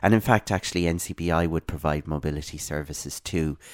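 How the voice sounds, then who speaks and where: In an Irish accent, a man with a very deep, low pitch speaks at a moderate pace in a very clean recording with a silent background and a dry, close sound with no echo. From Ireland, west (Ballinasloe) and Dublin. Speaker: blind advocate. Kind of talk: interview. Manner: halting, many fillers.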